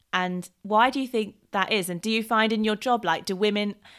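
In a normal speaking voice, a woman talks at a fairly quick pace and a medium pitch. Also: very clean recording, silent background. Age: 20s. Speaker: podcast host. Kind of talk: casual chat.

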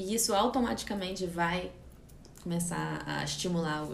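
There is noticeable background noise and audible room echo. Through it, a woman speaks at a fairly low pitch. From California, USA (Brazilian family, holidays in Rio). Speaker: yoga teacher. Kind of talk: casual interview chat. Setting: yoga studio, Instagram live.

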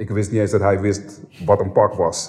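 A man speaks at a fairly low pitch with a dark, mellow tone. His pace is fairly slow. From Amsterdam Bijlmer, Netherlands. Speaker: former rapper, podcast guest. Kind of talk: casual interview, personal story. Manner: hesitant, many repetitions.

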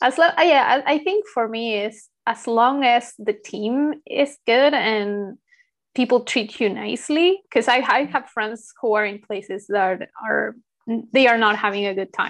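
A woman speaks at a fairly slow pace in a plain, everyday voice. Her pitch is fairly high, with ordinary variation. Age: 30s. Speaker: podcast host. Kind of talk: interview.

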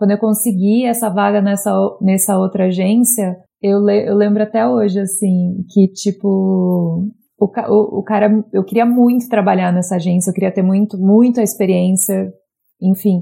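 Somewhat breathy and dark, mellow in tone, a woman's medium-pitched voice moves at a moderate pace with fairly even intonation and very even loudness. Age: 30s. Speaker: advertising professional. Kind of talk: interview about personal experience.

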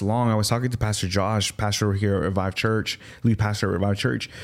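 An ordinary speaking voice from a man, fairly low in pitch, at a moderate pace with fairly even intonation. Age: 30s. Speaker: podcast host. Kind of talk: interview. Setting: studio.

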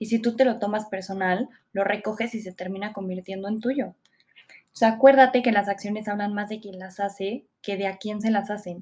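Somewhat breathy and medium in pitch, a woman speaks with fairly even intonation and big swings in loudness. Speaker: podcast host. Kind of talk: solo self-help podcast. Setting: home recording. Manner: fast.

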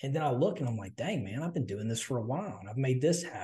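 A man's somewhat breathy, fairly high voice with very wide pitch swings and a Southern US accent. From US South. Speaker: podcast co-host. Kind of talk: casual chat.

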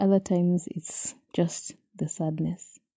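A woman's fairly low, dark, mellow voice with a Kenyan accent, somewhat breathy, with ordinary pitch variation and a dry, close sound free of echo. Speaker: podcast host. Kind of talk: solo podcast monologue, personal reflection. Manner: reflective, candid, some laughter.

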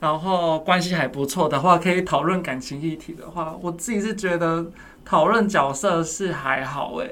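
A man's high voice carries audible echo from the room. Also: ordinary pitch variation, moderate pace. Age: 30s. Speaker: counselor at a men's support center. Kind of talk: casual interview chat.

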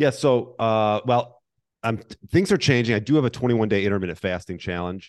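Over a quiet background, a man talks fairly quickly in a normal speaking voice, with a medium pitch and ordinary pitch variation. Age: 40s. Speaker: intermittent fasting coach and personal trainer. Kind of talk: casual interview.

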